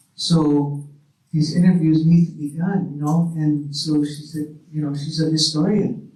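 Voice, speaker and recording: A fairly high male voice in a monotone, flat delivery at a fairly slow pace, with audible room echo. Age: 80s. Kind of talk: panel discussion. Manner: halting.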